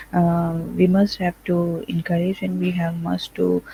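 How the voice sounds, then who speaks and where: A woman with a Pakistani accent speaks at a fairly slow pace. Noticeable background noise is present. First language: Urdu or Punjabi. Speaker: nursing lecturer. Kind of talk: online lecture. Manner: halting, many fillers.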